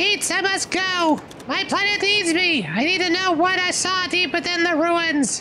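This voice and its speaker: A put-on character voice at an extremely high pitch moves at a moderate pace over clear background noise. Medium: game stream.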